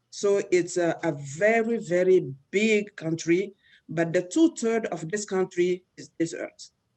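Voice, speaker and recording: A woman with a French accent speaks at a fairly slow pace and a medium pitch with lively intonation. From Niger. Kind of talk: informal presentation on a video call. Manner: halting, many fillers.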